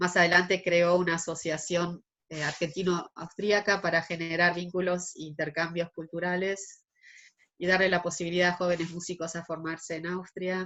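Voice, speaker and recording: Speaking at a moderate pace, a woman uses a fairly low pitch and flat, monotone intonation. Her loudness swings widely. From Argentina. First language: German (speaking Spanish). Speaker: interviewee, artist. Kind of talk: interview.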